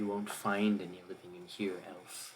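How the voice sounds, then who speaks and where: A man puts on a character voice that is very deep and low in pitch, speaking at a moderate pace with monotone, flat intonation. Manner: mysterious, hostile.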